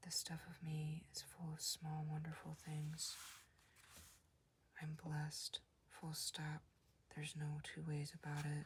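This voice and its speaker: Soft-spoken and calm in tone, the speaker moves at a fairly slow pace with long, frequent pauses. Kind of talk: comic book reading. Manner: soft-spoken, calm.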